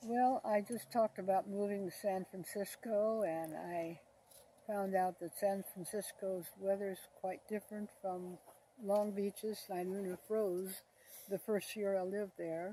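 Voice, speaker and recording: A woman's medium-pitched voice in an American accent, dark and mellow in tone, fairly slow and with fairly even intonation. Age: 90s. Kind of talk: interview answer, life story reminiscence.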